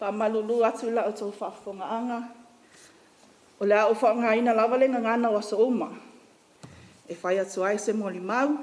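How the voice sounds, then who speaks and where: At a fairly quick pace, a woman with a fairly high voice talks in fairly even intonation, with long, frequent pauses and noticeable background noise. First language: Samoan. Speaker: family friend giving a eulogy. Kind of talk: eulogy.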